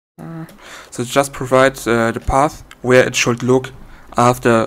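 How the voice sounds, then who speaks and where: Speaking with a non-native accent, a man of medium pitch goes at a very slow pace. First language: not English. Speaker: software developer demonstrating own program. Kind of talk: tutorial. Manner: halting, many fillers.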